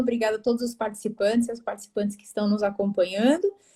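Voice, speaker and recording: Very fast and somewhat breathy, a woman's fairly high voice has a dark, mellow tone and fairly even intonation. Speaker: veterinarian, animal nutrition specialist. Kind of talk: live interview. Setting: live video call.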